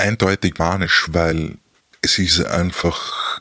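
A man speaks at a very slow pace. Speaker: ex-partner of someone with bipolar disorder. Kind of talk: interview. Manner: halting.

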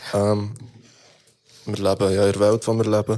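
This man speaks in a fairly low register. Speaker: rapper and music producer. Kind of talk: casual chat.

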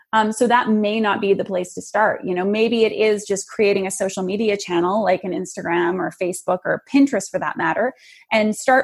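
A plain, everyday voice from a woman at medium pitch. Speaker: clarity coach. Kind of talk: interview.

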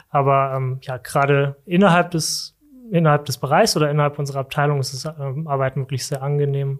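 A man talks at a fairly quick pace. His pitch is fairly high, in a plain, everyday voice. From Germany, Saarland. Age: 30s. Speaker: corporate sustainability manager. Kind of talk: casual interview. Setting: studio.

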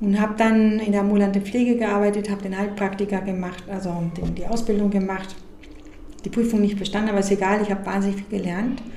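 A woman speaks at a very fast pace in a monotone, flat intonation, with audible room echo and noticeable background noise. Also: medium pitch for a woman. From Mexico. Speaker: funeral director. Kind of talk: interview.

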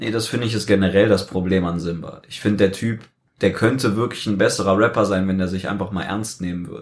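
Very fast male speech, fairly low in pitch, with ordinary variation in that pitch. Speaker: youtuber. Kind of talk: casual chat. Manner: steady pitch.

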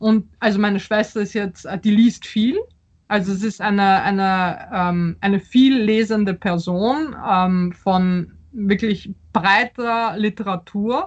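At a very slow pace, a woman talks at medium pitch with fairly even intonation. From Austria and Poland (Vienna, Warsaw). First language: Polish (speaking German). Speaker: novelist. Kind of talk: interview. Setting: video call. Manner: halting, many fillers.

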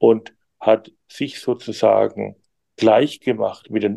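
Very slow speech from a man, dry and close in sound with no echo. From Germany. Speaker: journalist. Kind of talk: interview. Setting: video call. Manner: hesitant, many fillers.

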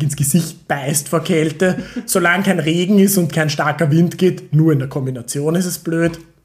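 A man's fairly even intonation is heard through noticeable background noise. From Austria, Vienna. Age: 30s. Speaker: PhD student in chemistry. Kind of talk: casual chat. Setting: at home at dining table.

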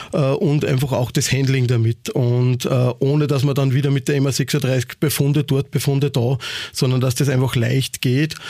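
A man speaks in a flat monotone at a fairly high pitch. His pace is moderate, and noticeable background noise is present. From Austria, Upper Austria (Ried im Innkreis). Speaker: nightclub owner and event promoter. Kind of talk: casual interview.

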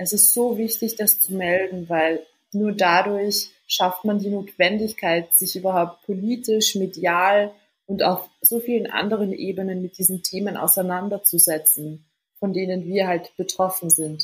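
Using an unremarkable speaking voice, a woman with a medium pitch speaks at a fairly slow pace with fairly even intonation. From Austria, Vienna. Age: 20s. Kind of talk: casual interview. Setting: remote call.

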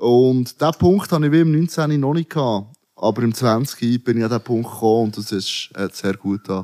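Dark, mellow tone with lively intonation, moderate pace, hardly any pauses and a dry, close sound with no echo. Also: man, medium pitch for a man. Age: 30s. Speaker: rapper. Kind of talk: casual chat.

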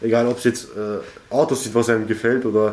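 A man talking very fast at a medium pitch amid noticeable background noise. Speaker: young person at a youth centre. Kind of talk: interview. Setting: youth centre. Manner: halting.

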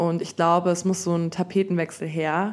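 A woman speaks at medium pitch and a moderate pace in an ordinary speaking voice. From Germany, Munich. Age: 20s. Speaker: dancer and dance teacher. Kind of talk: casual chat.

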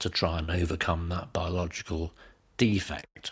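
A man's voice sits at a very deep, low pitch and sounds somewhat breathy. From northern England. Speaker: pediatric hepatologist. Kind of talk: interview. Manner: halting, many fillers.

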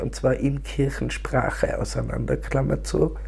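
A woman takes her time, speaking fairly slowly while noticeable noise runs in the background. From Austria, Tyrol. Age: 60s. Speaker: poet. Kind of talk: interview.

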